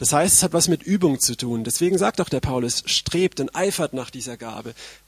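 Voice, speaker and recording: A man talks in an ordinary speaking voice at a moderate pace, with ordinary pitch variation. The sound is dry and close, with no echo. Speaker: preacher. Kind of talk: sermon. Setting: stage with audience.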